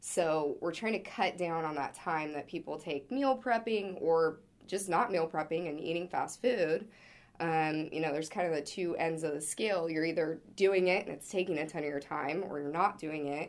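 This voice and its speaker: A woman speaks at a moderate pace with a fairly low pitch and ordinary pitch variation. She has an unremarkable speaking voice. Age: 20s. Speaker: startup co-founder and president. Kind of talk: interview.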